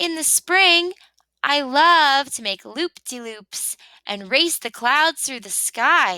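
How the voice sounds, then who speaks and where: A woman uses a put-on character voice, high in pitch, at a very slow pace. The sound is dry and close, with no echo. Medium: read story. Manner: chirpy, upbeat.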